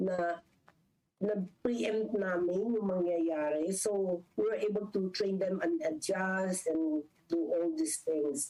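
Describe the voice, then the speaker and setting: A woman of medium pitch with a Filipino accent, a dark, mellow tone, very even loudness, ordinary pitch variation and a very slow pace. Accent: Filipino English, Taglish code-switching. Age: 70s. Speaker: business executive. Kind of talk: interview.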